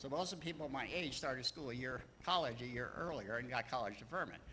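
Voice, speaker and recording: A man with an American accent speaks at a fairly quick pace and medium pitch. His tone is bright and sharp, with audible room echo. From Texas and Louisiana, later Maryland. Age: 70s. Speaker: church speaker sharing life story. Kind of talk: personal talk to congregation. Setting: church livestream. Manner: halting, many fillers.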